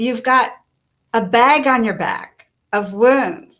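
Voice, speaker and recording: Music plays in the background as a woman speaks at a very slow pace. Her intonation stays fairly even. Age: 60s. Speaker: author and life coach. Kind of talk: interview.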